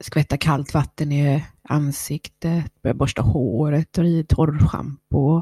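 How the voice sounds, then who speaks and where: A woman's very deep, low, dark and mellow voice, somewhat breathy, dry and close with no echo, on a very clean recording with a silent background. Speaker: podcast host. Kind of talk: personal monologue. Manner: eating while talking.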